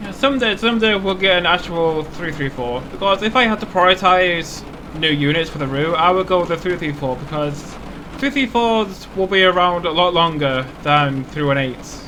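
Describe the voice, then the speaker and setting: A man's high-pitched voice, lively intonation, and noticeable background noise. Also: moderate pace. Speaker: gaming video creator. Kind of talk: gameplay commentary. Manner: stuttering; casual, thinking aloud.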